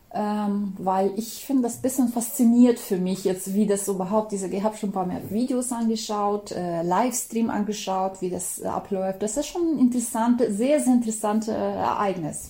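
Woman at a moderate pace over noticeable background noise. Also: medium pitch for a woman, ordinary pitch variation, hardly any pauses. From former Soviet Union. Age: 40s. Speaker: interviewee. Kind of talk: interview. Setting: Skype call. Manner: hesitant, many fillers.

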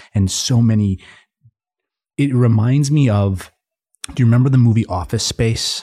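Heard on a very clean recording with a silent background, a man with an American accent speaks at a moderate pace and medium pitch, with ordinary pitch variation and a somewhat breathy, dark, mellow tone. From Minnesota, near Minneapolis. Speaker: coffee shop co-founder. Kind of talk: interview. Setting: studio.

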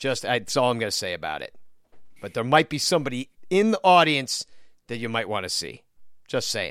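On a very clean recording with a silent background, a man of medium pitch speaks fairly quickly with vocal fry, very wide pitch swings, and long, frequent pauses. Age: 40s. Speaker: podcast host. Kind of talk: casual chat.

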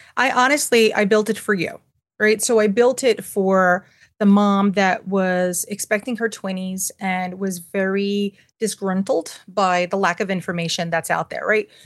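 Over a quiet background, a woman with a New York accent speaks at a fairly slow pace in a medium pitch with fairly even intonation. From New York City (Manhattan). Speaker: parenting resource founder and author. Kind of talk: interview conversation.

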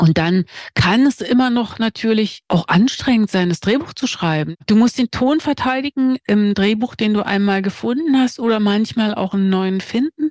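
A woman's unremarkable speaking voice at a fairly high pitch, lively in intonation, moderate in pace with hardly any pauses, in a dry, close sound with no echo. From East Germany. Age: 50s. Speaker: screenwriter. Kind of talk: interview.

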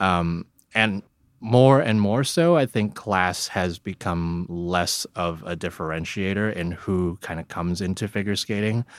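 Very deep and low, an American-accented man speaks at a fairly slow pace with ordinary pitch variation, in a dry, close sound with no echo on a very clean recording with a silent background. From Hong Kong. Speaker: figure skating blogger. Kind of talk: casual interview.

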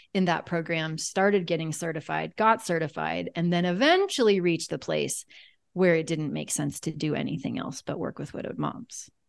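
A woman with an ordinary speaking voice and an American accent speaks at a fairly quick pace and fairly low pitch, with ordinary pitch variation against a quiet background. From Kansas. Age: 40s. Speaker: life coach and grief expert. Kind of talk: interview.

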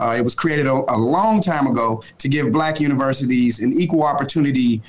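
This man has an American accent, a fairly high pitch and ordinary pitch variation. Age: 40s. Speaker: youth organization leader. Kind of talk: political discussion; personal story.

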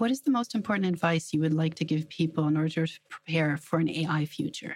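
A woman with a very deep, low pitch talks at a fairly quick pace in a somewhat breathy voice, her loudness very even and her pitch varying an ordinary amount. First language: German. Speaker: business journalist and podcast host. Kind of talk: interview.

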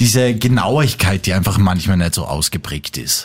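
A man talks at a moderate pace in a normal speaking voice with ordinary pitch variation. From Austria, Salzburg. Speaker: podcast host. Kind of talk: casual chat.

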